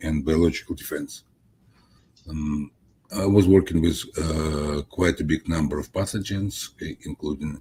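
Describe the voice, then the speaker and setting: Here is a man with a very deep, low pitch. His tone is dark and mellow, and somewhat breathy. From Soviet Union. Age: 70s. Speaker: scientist, author. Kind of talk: interview. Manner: halting, many fillers.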